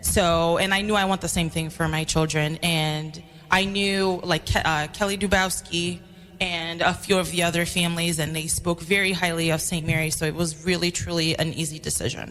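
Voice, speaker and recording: With an American accent, a woman speaks in a fairly low voice with monotone, flat intonation. Music plays in the background. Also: moderate pace. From New York City. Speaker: school secretary and parent. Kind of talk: radio interview.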